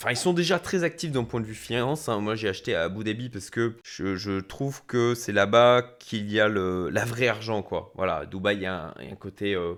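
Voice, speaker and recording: Lively intonation marks this man's fairly low voice. He keeps a moderate pace with hardly any pauses. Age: 40s. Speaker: startup investor. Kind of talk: business analysis talk. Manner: hesitant, many fillers.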